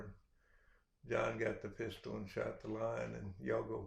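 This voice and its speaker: A man with a west Texas accent at a moderate pace, with audible room echo. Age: 60s. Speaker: rancher. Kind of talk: storytelling.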